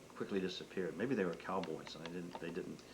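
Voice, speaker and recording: The room's echo is audible. The voice is a man's. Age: 60s. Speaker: grandfather being interviewed about his life. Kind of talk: family oral history interview. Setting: at home. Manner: halting, many repetitions.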